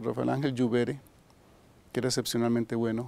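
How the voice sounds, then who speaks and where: With a dark, mellow tone, a man delivers his words at a fairly quick clip. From Costa Rica, Desamparados (San José). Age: 70s. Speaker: retired philosophy professor. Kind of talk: interview reminiscence. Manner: halting, frequent repetitions and fillers.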